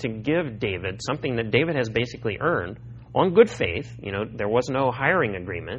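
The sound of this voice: Intonation here is lively. The voice reads in an unforced manner.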